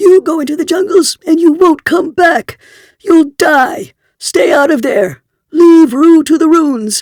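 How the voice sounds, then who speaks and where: In a put-on character voice, the speaker goes shrill and extremely high in pitch at a fairly slow pace. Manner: urgent warning.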